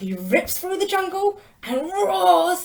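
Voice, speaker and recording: Squeaky put-on character voice, fairly slow in pace. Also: woman, extremely high pitch for a woman. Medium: read story.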